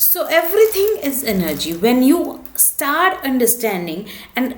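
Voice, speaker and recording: A woman's high voice at a fairly slow pace, with very wide pitch swings and audible room echo. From India. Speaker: spiritual vlogger. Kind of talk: casual talk to camera.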